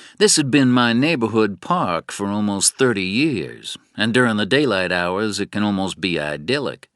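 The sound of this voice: Lively intonation from an unforced reading voice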